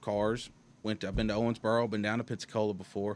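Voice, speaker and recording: A man talks at a very fast pace with a Southern US accent. His pitch is fairly low. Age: 20s. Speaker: race car driver. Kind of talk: interview. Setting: studio.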